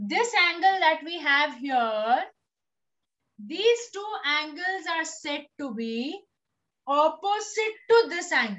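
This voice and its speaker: With an extremely high pitch and very wide pitch swings, a woman speaks at a very slow pace, her loudness swinging widely between long, frequent pauses. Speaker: teacher. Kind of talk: lecture. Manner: slow, steady.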